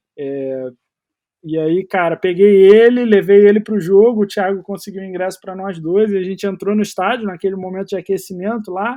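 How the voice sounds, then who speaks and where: A man's high-pitched voice at a moderate pace. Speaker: American football coach and player. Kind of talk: podcast interview.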